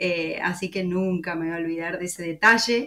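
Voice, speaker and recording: A woman speaks in a bright, sharp tone with an Argentine accent. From Córdoba, Argentina. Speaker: podcast host. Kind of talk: interview.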